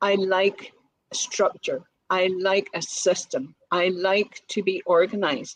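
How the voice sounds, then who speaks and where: A woman's medium-pitched voice with a Northern Irish accent. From Northern Ireland. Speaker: business owner, colour consultant. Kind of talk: podcast interview.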